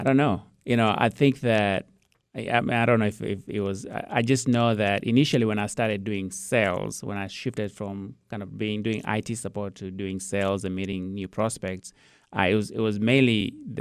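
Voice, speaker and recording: At a moderate pace, a man talks in a Kenyan accent at a fairly low pitch. His intonation is fairly even. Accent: Kenyan accent, Queen's English. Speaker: IT business owner. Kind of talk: interview. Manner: repeats words, halting.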